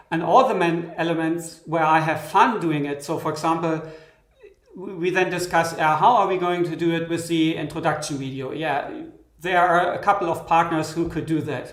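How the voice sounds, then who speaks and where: A man talks with a high pitch and fairly even intonation. The room echo is audible. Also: moderate pace. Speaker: software synth developer. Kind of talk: live stream interview. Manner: halting. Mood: relaxed, reflective. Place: studio.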